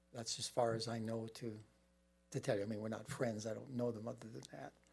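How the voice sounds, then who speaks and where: Here a man speaks at a medium pitch with ordinary pitch variation. His voice is somewhat breathy. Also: fairly quick pace. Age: 70s. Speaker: property owner at public meeting. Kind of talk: public comment at county meeting.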